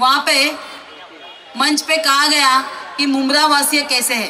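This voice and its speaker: A woman speaks in a raised, projected voice, high in pitch and flat and monotone in intonation. There is audible room echo and noticeable background noise. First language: Marathi (speaking Hindi). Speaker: politician. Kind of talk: political rally speech.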